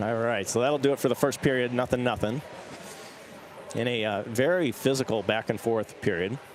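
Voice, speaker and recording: Noticeable background noise sits under a man speaking at a medium pitch. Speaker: hockey play-by-play commentator. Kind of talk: live commentary. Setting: standing by boards in cold rink. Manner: quivering voice from cold; fast.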